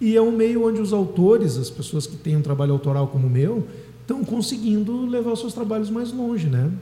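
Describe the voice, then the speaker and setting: Over noticeable background noise, a man with a high pitch talks at a fairly quick pace with very wide pitch swings. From southern Brazil, Dom Pedrito (Rio Grande do Sul). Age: 40s. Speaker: singer-songwriter and music teacher. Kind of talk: radio interview.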